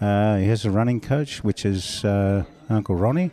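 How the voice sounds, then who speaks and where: Fairly slow and fairly low, a man's dark, mellow voice shows ordinary pitch variation. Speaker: boxing trainer. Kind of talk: casual interview. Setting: backstage at a boxing event.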